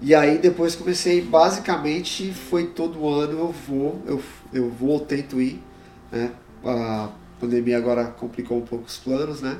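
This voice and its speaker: Fairly slow speech from a man with a Paulista accent, fairly high in pitch with ordinary pitch variation, amid noticeable background noise. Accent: Paulista Brazilian Portuguese. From Brazil, São Paulo (ABC region). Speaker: immigrant. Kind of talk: casual chat.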